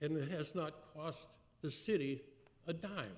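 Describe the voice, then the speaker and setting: A man's dark, mellow, somewhat breathy voice at a fairly slow pace, with ordinary pitch variation and audible room echo. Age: 80s+. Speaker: city council member. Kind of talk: council meeting speech. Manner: halting, many fillers.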